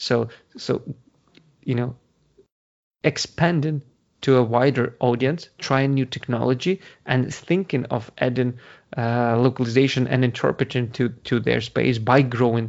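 A man with a Ukrainian accent speaks at a fairly slow pace with long, frequent pauses. His pitch is medium, and his intonation is fairly even. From Ukraine. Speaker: translation company founder. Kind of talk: interview. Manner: halting.

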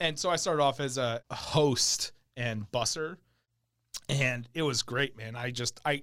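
Recorded very cleanly against a silent background, a man with an American accent speaks at a fairly slow pace with fairly even intonation. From New Jersey and New York City. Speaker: bartender and bar owner. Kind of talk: casual interview chat. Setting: studio.

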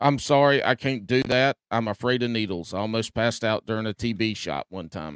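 Speaking at a fairly quick pace with hardly any pauses, a man uses a medium pitch and ordinary pitch variation. The sound is dry and close, with no echo. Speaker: podcast co-host. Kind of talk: casual chat. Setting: remote call. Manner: energetic.

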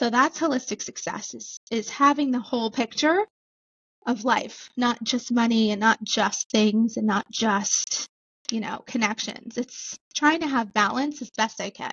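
Speaking at a fairly slow pace, a woman uses an unremarkable speaking voice at a fairly high pitch with ordinary pitch variation. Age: 30s. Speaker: real estate investor and business owner. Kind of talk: interview.

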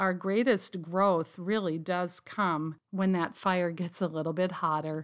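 In a very clean recording with a silent background, a woman with an unremarkable speaking voice talks at a fairly slow pace with fairly even intonation and hardly any pauses. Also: fairly low pitch for a woman. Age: 50s. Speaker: pastor's wife. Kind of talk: interview.

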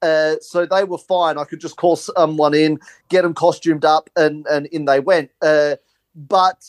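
On a very clean recording with a silent background, a man with an Australian accent speaks at a fairly slow pace and fairly high pitch, his intonation fairly even. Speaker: film producer and comedy filmmaker.

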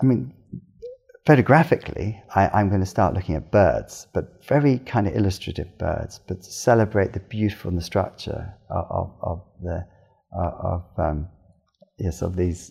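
A man speaks at a moderate pace in a fairly low pitch, his dark, mellow voice somewhat breathy. His intonation is lively, his loudness swings widely, and the recording is very clean over a silent background. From southwest England (Cornwall). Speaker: animal photographer. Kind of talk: interview. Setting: studio. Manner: halting.

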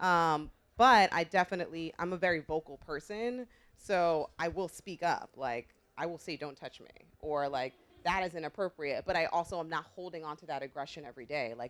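A woman's ordinary speaking voice, fairly low in pitch, with an American accent, ordinary pitch variation and a fairly quick pace. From New York, the Bronx. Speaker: fashion editor. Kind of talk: panel discussion.

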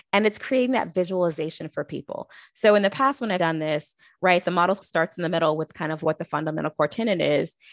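Talking at a very fast pace, a woman with a fairly low pitch and ordinary pitch variation sounds dry and close with no echo over a quiet background. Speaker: HR and leadership development consultant. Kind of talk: interview. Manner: passionate.

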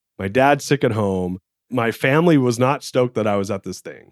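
In a very clean recording with a silent background and a dry, close sound with no echo, a man with an American accent talks at a fairly quick pace in a medium pitch. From Southern California. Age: 40s. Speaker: entrepreneur and author. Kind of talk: interview.

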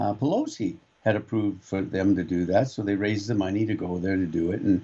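A man talks at a fairly quick pace with a fairly low pitch. His tone is dark and mellow. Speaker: radio co-host. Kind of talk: casual talk radio. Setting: studio.

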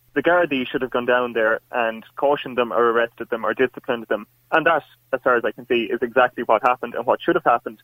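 Someone with an Irish accent talks at a very fast pace with fairly even intonation. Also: man, medium pitch for a man. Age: 20s. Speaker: university student caller. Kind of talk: call-in debate. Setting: phone call.

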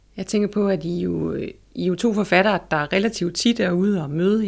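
A woman speaks at a fairly low pitch with vocal fry and ordinary pitch variation. Her pace is moderate, and the recording is very clean with a silent background. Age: 40s. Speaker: library consultant and interviewer. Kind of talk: interview. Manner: hesitant, many fillers.

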